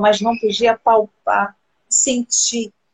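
A woman's fairly high voice at a very slow pace. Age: 40s. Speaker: live stream host, former teacher. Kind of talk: casual chat.

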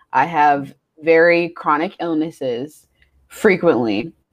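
A woman is speaking. Her pitch is fairly low. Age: 20s. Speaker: podcast co-host. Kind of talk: casual chat.

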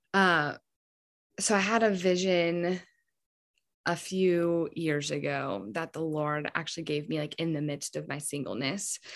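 Against a quiet background, a woman speaks fairly slowly in a normal speaking voice, fairly low in pitch with ordinary pitch variation. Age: 20s. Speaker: podcast guest sharing faith testimony. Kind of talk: casual chat.

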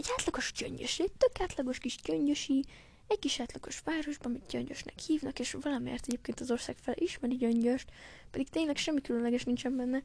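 A woman speaks at a very fast pace in a high pitch. Her pitch varies in an ordinary way. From Hungary (Gyöngyös, earlier Nyíregyháza). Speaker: podcaster. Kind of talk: casual monologue addressed to a friend. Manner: animated; halting.

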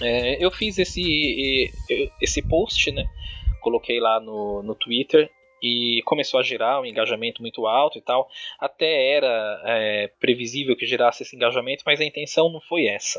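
Here is an ordinary speaking voice. It moves at a moderate pace with ordinary pitch variation. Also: man, medium pitch for a man. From Brazil, São Paulo (Diadema, ABC Paulista). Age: 30s. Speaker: online influencer and law graduate student. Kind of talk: casual interview chat.

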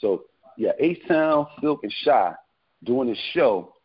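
A man speaks at a fairly slow pace and a fairly high pitch. His is a plain, everyday voice. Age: 50s. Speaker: R&B singer. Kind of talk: casual chat.

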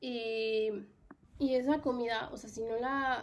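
A woman's fairly high, monotone and flat voice, with audible room echo. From Mexico. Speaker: podcast host. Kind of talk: solo personal monologue. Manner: casual, many fillers.

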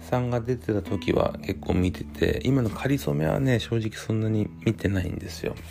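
Over music in the background, a man talks in a relaxed tone with lively intonation. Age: 40s. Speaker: podcast host. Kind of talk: casual solo talk while drinking. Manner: relaxed, hesitant with fillers.

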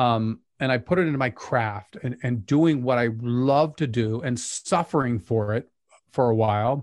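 Against a quiet background, a man with an American accent and an unremarkable speaking voice talks at medium pitch and a moderate pace, with ordinary pitch variation. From Utah, Pleasant Grove. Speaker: documentary filmmaker. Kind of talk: casual chat.

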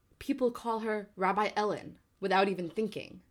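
The woman has an ordinary speaking voice. She talks at a moderate pace and a medium pitch. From New Jersey. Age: 20s. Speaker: podcast co-host, Broadway dresser. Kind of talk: casual chat. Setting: home.

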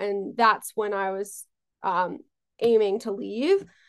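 A woman with an American accent and an unremarkable speaking voice talks at a fairly high pitch and a fairly slow pace against a quiet background. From New York, Long Island. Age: 20s. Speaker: talent management founder. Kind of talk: interview.

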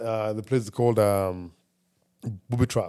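Fairly even in intonation, a man at medium pitch speaks with a dark, mellow tone. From East Africa. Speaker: podcast guest. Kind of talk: casual chat. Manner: halting, many repetitions.

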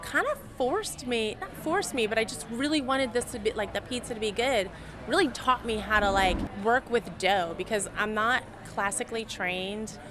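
In an American accent, a woman talks at a moderate pace with a fairly high pitch and ordinary pitch variation. Noticeable background noise is present. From Philadelphia, US. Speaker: chef and pizza maker. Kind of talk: casual interview chat. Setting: restaurant kitchen and patio.

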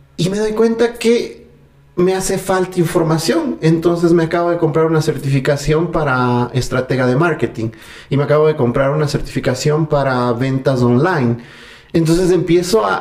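Against noticeable background noise, a man with a fairly high pitch speaks at a moderate pace with lively intonation. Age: 30s. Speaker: personal development enthusiast. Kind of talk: casual interview conversation. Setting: at the guest's home.

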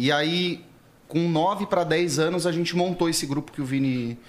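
A man's plain, everyday voice, fairly slow in pace, with ordinary pitch variation. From São Paulo, Interlagos. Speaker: pagode musician. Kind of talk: casual chat.

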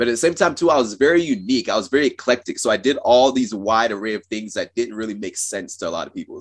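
A man with an American accent has a normal speaking voice. He talks at a fairly quick pace with ordinary pitch variation. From Cameroon and US Pacific Northwest. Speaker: science communicator and engineer. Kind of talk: interview. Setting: call.

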